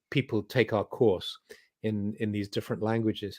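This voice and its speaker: In a dry, close recording with no echo, a man with an English accent speaks at a medium pitch. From England. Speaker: spiritual teacher. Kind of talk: interview. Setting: video call.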